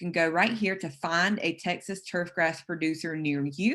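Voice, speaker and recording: Over a quiet background, a woman with a South Carolina accent and a fairly low pitch speaks at a fairly slow pace with ordinary pitch variation. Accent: Southern, South Carolina. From US South, South Carolina. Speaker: turfgrass specialist. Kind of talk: webinar lecture.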